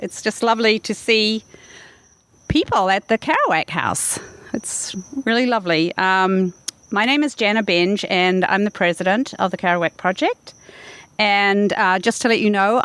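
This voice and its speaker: A woman with a New Zealand accent at a medium pitch and moderate pace, ordinary pitch variation, the sound dry and close with no echo, with noticeable background noise. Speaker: event host, president of a literary nonprofit. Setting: live public event. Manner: hesitant, many fillers.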